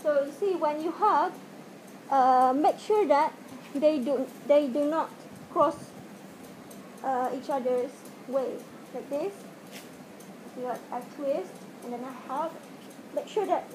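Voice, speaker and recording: A woman with a high-pitched voice talks at a very slow pace, leaving long, frequent pauses. Noticeable background noise is present. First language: not English. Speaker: video tutorial maker. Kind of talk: tutorial. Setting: home video, speaking to camera wearing a mask. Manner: halting, hesitant with many fillers. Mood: hesitant, apologetic. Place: home room. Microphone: webcam.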